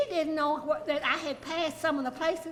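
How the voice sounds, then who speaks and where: A woman speaks at an extremely high pitch, with audible room echo. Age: 90s. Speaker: artist. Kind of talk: tribute toast.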